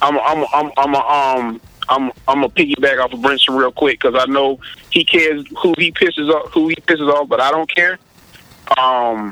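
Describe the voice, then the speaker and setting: A man with a fairly high pitch speaks at a moderate pace in a normal speaking voice. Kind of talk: casual interview conversation.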